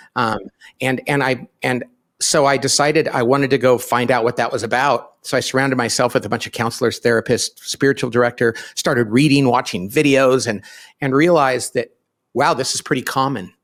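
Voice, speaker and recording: This man has a normal speaking voice at a medium pitch, talking at a fairly quick pace with very even loudness and fairly even intonation, recorded very cleanly over a silent background. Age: 50s. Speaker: business author and company founder. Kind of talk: podcast interview.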